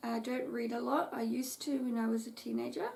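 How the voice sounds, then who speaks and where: A woman's fairly slow speech amid noticeable background noise. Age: 30s. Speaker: craft vlogger. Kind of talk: casual chat.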